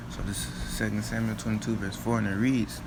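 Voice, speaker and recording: Noticeable background noise and audible echo from the room accompany a man as he talks. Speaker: street preacher. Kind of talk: bible teaching. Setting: at home late at night. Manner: casual, repetitive.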